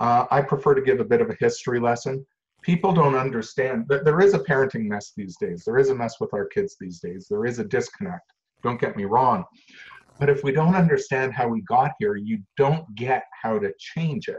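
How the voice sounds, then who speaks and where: Very wide pitch swings in a somewhat breathy male voice, fairly high for a man. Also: moderate pace. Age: 60s. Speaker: social worker. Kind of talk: interview. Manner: matter-of-fact.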